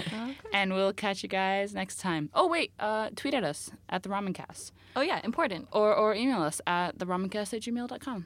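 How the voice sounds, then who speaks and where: A woman's unremarkable speaking voice, medium in pitch, with an American accent, lively intonation and a moderate pace. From US. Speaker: podcast host. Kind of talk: casual chat.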